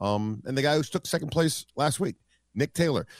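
The man, who has an unremarkable speaking voice, talks at a moderate pace with lively intonation, captured very cleanly against a silent background. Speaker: sports play-by-play announcer. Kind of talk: casual chat.

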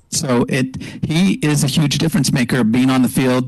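A man speaks with a Canadian accent. Noticeable background noise runs behind him. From Canada, Montreal. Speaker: football fan panelist. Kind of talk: casual sports talk.

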